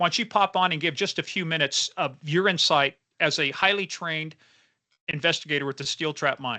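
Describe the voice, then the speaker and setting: A man's bright, sharp, fairly high voice at a fairly quick pace, with ordinary pitch variation over a quiet background. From Kansas. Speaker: founder presenting a case platform, former state trooper. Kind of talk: webinar presentation. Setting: online webinar. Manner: fast.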